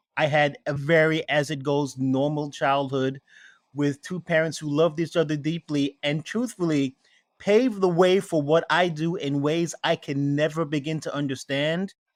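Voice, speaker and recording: This man has a New York accent and a fairly high pitch. His intonation stays fairly even, and the sound is dry and close with no echo. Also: moderate pace. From New York City (Queens, Brooklyn). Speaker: spirits maker. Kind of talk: interview.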